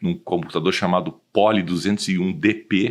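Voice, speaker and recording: A quiet background sits behind a man speaking at a fairly low pitch. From southern Brazil, Rio Grande do Sul (Porto Alegre). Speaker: automotive industry consultant. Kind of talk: podcast interview.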